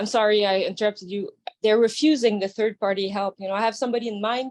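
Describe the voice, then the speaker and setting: In a French Canadian accent, a woman speaks at a very fast pace. Her pitch is fairly high. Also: fairly even intonation. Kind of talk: audience question. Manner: halting.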